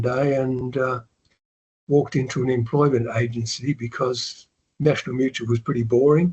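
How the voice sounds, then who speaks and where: A man with an Australian accent speaks at a fairly slow pace, his somewhat breathy voice sitting at a medium pitch with fairly even intonation. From Australia, Melbourne. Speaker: retired investor and author. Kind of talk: interview. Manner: casual, hesitant.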